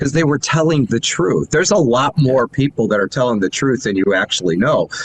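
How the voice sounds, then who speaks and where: A man speaks at a fairly quick pace with very wide pitch swings and very even loudness. Noticeable background noise sits behind him. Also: medium pitch for a man, dry, close sound with no echo. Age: 60s. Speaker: news platform founder. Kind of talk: interview. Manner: animated.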